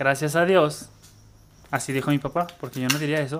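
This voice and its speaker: A man with a Mexican accent speaks at a moderate pace in a fairly high pitch, with fairly even intonation. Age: 20s. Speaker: podcast co-host. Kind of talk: casual chat.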